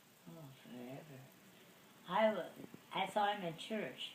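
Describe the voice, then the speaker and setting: A woman is speaking. Background noise is noticeable behind her. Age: 80s+. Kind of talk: interview answer.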